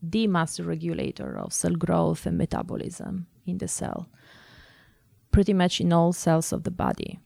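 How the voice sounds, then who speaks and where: A woman speaks in an Italian accent. The recording is very clean, with a silent background. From Italy. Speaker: cancer researcher. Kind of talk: interview. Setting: studio. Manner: halting.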